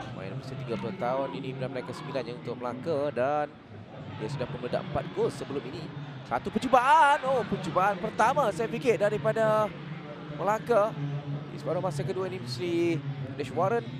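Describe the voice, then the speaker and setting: In a Malaysian accent, a man speaks at a moderate pace with a fairly high pitch. His pitch swings very widely, and crowd noise fills the background. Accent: Malaysian Malay. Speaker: football commentator. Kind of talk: live sports commentary. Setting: stadium. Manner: excited bursts at goals, clipped phrases.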